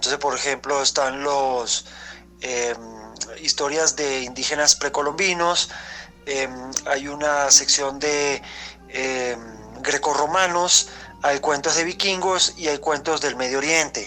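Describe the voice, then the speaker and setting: Music plays in the background as the voice goes at a very slow pace with fairly even intonation. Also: man, fairly high pitch for a man. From Venezuela. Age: young. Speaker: writer. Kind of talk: interview answer. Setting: voice message.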